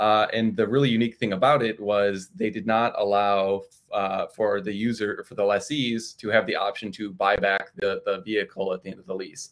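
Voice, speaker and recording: Using a plain, everyday voice, a man speaks at a moderate pace in a fairly low pitch with fairly even intonation and hardly any pauses. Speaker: co-host investor. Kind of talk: casual live-streamed market discussion. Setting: live stream online.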